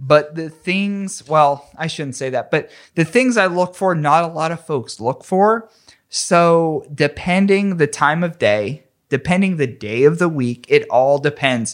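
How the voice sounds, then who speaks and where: Here is a man with an ordinary speaking voice, pitched fairly high for a man. His intonation is lively, and the recording is very clean with a silent background. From western Pennsylvania, McKeesport near Pittsburgh. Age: 30s. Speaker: podcaster. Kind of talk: casual chat.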